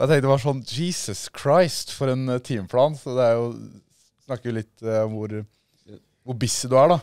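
The speaker talks at a moderate pace with long, frequent pauses, in a dry sound with no echo against a quiet background. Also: man, ordinary pitch variation. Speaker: podcast host. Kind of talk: casual chat. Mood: amused, lively. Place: studio. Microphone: studio mic.

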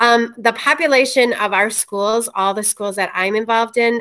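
A woman speaks at a fairly high pitch with ordinary pitch variation. Her tone is bright and sharp, yet clear and smooth.

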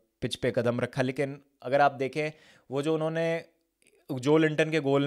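A man with a fairly high pitch speaks at a moderate pace and with fairly even intonation against a quiet background. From India. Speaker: football fan commentator. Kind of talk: casual match reaction monologue. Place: studio. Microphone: studio mic.

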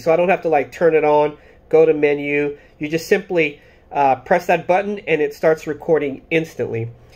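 The pitch of this man's voice is high. He talks at a moderate pace. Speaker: product reviewer. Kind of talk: casual vlog chat. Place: home room. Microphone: phone near.

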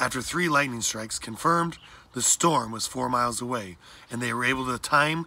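This is someone reading aloud. The voice is natural.

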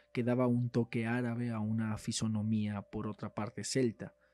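A man speaks in a dramatic tone with a medium-pitched, dark, mellow voice. His intonation is monotone and flat, the pace moderate, and the sound dry and close with no echo. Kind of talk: horror story narration, reading aloud. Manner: formal, dramatic, gloomy storytelling.

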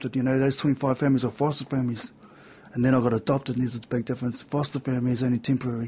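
The intonation is monotone and flat. The pace is very fast. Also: man. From New Zealand, central North Island. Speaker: person in addiction and mental health recovery; interview guest. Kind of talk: interview testimony. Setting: radio/TV studio. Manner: halting, many fillers. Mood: reflective, candid about hard past. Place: studio. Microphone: studio mic.

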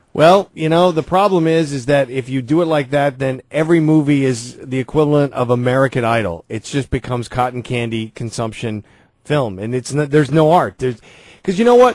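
A man with an ordinary speaking voice talks at a fairly quick pace and medium pitch with ordinary pitch variation, over a quiet background and with a dry sound with no echo. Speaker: radio host. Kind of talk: casual chat. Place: studio. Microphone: studio mic.

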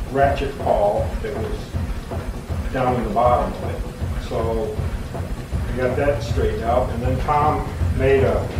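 A man speaks at a fairly slow pace. The recording has audible room echo and noticeable background noise. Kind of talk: explanatory commentary to camera. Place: workshop.

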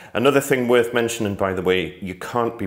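A plain, everyday voice from a man, fairly low in pitch, at a fairly quick pace with ordinary pitch variation. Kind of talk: tutorial. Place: home room. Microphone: phone near.

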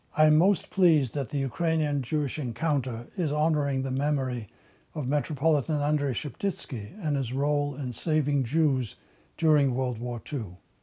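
This man's voice sits fairly high in pitch, with a dark, mellow tone and a somewhat breathy quality. He speaks at a moderate pace with ordinary pitch variation against a quiet background. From western Ukraine. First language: German. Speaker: Holocaust survivor; interviewee. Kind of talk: testimony. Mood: solemn, formal. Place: office.

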